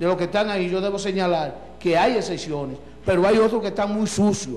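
A man with a Dominican accent speaks in a high pitch with ordinary pitch variation over light background noise. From Dominican Republic. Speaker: local party leader. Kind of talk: political interview. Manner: animated. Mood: indignant political criticism. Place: studio. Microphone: handheld.

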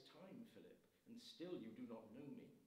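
A man's dark, mellow voice swings very widely in pitch at a moderate pace. Audible room echo surrounds it. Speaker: priest. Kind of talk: liturgy. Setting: church. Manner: formal. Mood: solemn, measured. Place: church.

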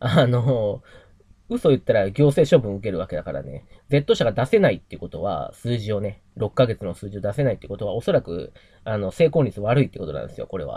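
On a very clean recording against a silent background, the words come very fast. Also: man. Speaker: YouTuber and investor. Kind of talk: casual vlog monologue. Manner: rambling, many fillers.

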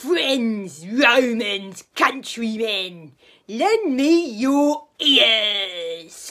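A female-sounding voice puts on a cartoonish character voice at a fairly high pitch. The pace is very slow. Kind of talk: mock-grand Shakespearean declamation. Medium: puppet show. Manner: pompous, pleased.

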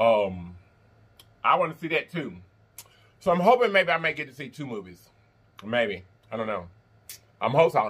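Using vocal fry and very wide pitch swings, a man talks at a moderate pace with big swings in loudness and long, frequent pauses. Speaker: mukbang host. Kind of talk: casual vlog chat while eating.

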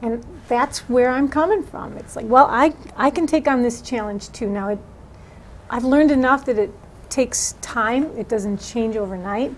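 With an American accent, a woman speaks at a moderate pace in a high voice with ordinary pitch variation and big swings in loudness, over light background noise. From Wisconsin. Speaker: political candidate; candidate. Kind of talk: interview. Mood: earnest, engaged. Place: studio.

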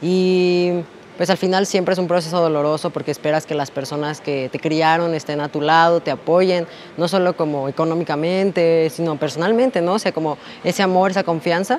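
Light background noise accompanies talk delivered at a fairly quick pace. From Mexico City (Iztapalapa); Mexico City. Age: 20s. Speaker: interviewee. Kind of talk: personal testimony interview. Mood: reflective, personal.

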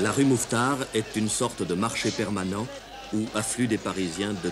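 Music plays in the background as a man with a fairly low pitch speaks at a moderate pace. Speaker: documentary narrator. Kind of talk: documentary narration.

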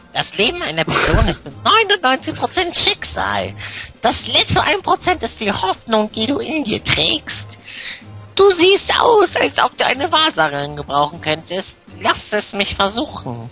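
Over clear music in the background, a man uses a put-on character voice at an extremely high pitch, speaking at a fairly slow pace. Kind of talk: comic put-on voice. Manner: dramatic, flustered.

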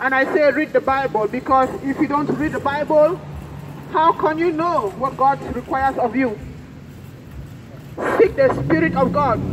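Over noticeable background noise, a woman with a high pitch and lively intonation speaks at a moderate pace, with long, frequent pauses. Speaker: street preacher. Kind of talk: sermon. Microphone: handheld.

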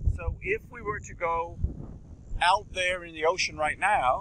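A man talks at a fairly slow pace, his voice dry with no echo. Noticeable background noise sits behind him. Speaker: earth science professor. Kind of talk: lecture. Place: beach. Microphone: lapel.

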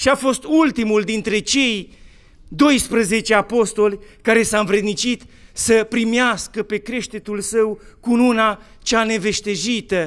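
A man speaks very slowly at a high pitch. His pitch varies in an ordinary way over a quiet background. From Romania. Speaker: Orthodox bishop; bishop preaching. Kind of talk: sermon. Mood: solemn, warm, expressive. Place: church.

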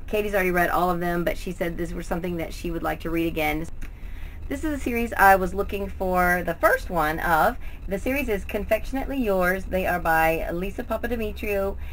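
A woman speaks fairly quickly with ordinary pitch variation while light background noise sits underneath. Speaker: book vlogger. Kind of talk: casual vlog chat. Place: home room. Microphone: webcam.

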